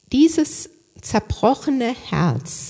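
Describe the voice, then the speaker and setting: A woman talks at a very slow pace, her pitch swinging very widely. Her voice is somewhat breathy with a dark, mellow tone. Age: 60s. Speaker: lay preacher. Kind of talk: sermon.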